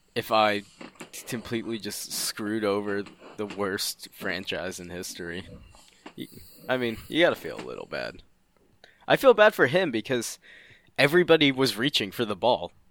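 Lively intonation and big swings in loudness mark this man's fairly low voice. He keeps a moderate pace, broken by long, frequent pauses. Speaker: podcast co-host. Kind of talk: casual chat.

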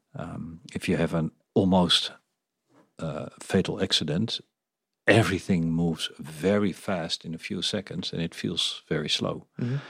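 A man speaks with a very deep, low pitch, ordinary pitch variation and a Dutch accent. His pace is fairly slow, and the recording is very clean with a silent background. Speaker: podcast host and business coach. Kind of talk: interview.

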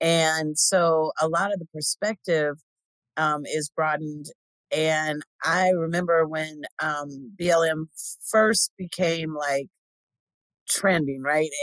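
A woman with an American accent speaks at a very slow pace with long, frequent pauses, her very deep, low pitch carrying fairly even intonation in a dry, close sound with no echo. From Inland Empire, Southern California. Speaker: podcast co-host. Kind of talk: casual chat.

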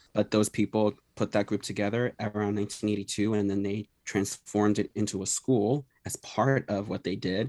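Heard at a moderate pace in an American accent, the voice sounds dry and close with no echo on a very clean recording with a silent background. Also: man. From Philadelphia. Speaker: musician. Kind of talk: radio interview. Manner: halting.

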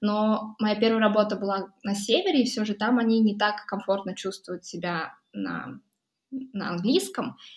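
A woman's somewhat breathy, fairly high-pitched voice at a fairly slow pace. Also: ordinary pitch variation. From Buryatia, Russia (Ulan-Ude). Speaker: electricity price analyst, mathematician. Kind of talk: casual interview conversation. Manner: hesitant with filler sounds.

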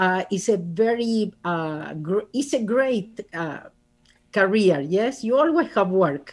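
Very slowly, a woman with an Argentine accent speaks at a medium pitch, her voice making very wide pitch swings. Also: quiet background. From Argentina. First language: Spanish. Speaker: author and speaker. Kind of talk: casual interview.

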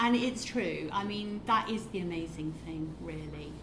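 At a fairly slow pace, a woman speaks over noticeable background noise. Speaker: entrepreneur. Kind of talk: panel talk. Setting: stage with audience.

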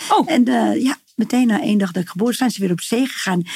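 Against noticeable background noise, a woman with a fairly high pitch talks at a moderate pace using lively intonation. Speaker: healer. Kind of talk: interview, personal story. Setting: in person at her practice space.

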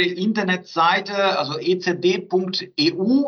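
A man with a Portuguese accent speaks in a high pitch. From southern Brazil. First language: Portuguese (speaking German). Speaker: research centre director. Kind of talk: interview.

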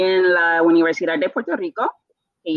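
A woman's voice at a medium pitch. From Bermuda. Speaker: translator. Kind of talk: interview.

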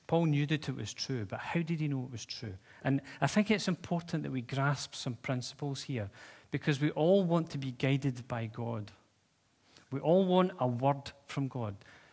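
Over a quiet background, a man speaks at a moderate pace in a fairly high, somewhat breathy voice. His pitch varies in an ordinary way. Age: 50s. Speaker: pastor. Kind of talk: sermon. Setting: church. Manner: casual, conversational.

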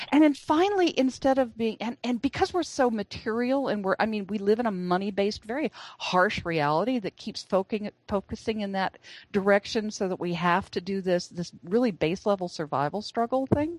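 In an ordinary speaking voice, a woman talks at a fairly high pitch and fairly quick pace with lively intonation. The sound is dry and close with no echo, over a quiet background. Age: 60s. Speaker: author and speaker. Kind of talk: interview.

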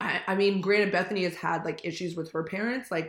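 With a Californian accent, a woman speaks at a fairly quick pace in an animated tone, her pitch fairly low and its variation ordinary. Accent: Californian American. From US West Coast, Manhattan Beach, California. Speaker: podcast co-host. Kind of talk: casual chat. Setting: remote recording.

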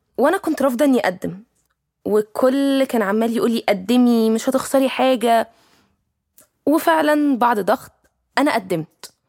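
In a dry, close sound with no echo, a woman with a high pitch speaks at a fairly slow pace, using lively intonation and long, frequent pauses. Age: 20s. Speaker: young professional working with children. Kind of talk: personal storytelling monologue.

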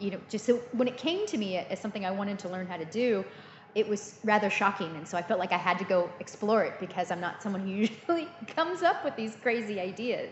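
A woman's medium-pitched voice with lively intonation and an American accent, at a fairly quick pace over noticeable background noise. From US, Illinois and California Central Valley. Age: 40s. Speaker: cheesemaker. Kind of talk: interview.

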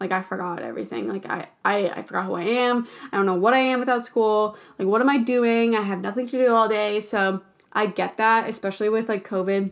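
A woman's fairly high-pitched, fairly quick, an ordinary speaking voice on a very clean recording with a silent background. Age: 20s. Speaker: podcast host and PA student. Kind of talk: casual solo chat. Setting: solo recording.

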